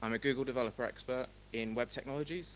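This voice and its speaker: A man delivers his words fairly quickly in a medium pitch. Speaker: tech conference speaker, company founder. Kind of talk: conference talk. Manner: animated.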